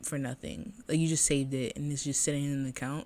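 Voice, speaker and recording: A woman with an American accent, very deep and low-pitched for a woman, talking at a very fast pace over a silent background in a very clean recording. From Boston, Massachusetts. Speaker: podcast host. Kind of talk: casual monologue podcast.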